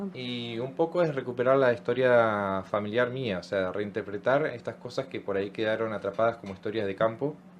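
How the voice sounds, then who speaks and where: With a normal speaking voice, a man talks at a fairly quick pace. His medium pitch shows ordinary variation. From Argentina, Chubut (Trelew). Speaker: language workshop educator. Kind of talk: radio interview.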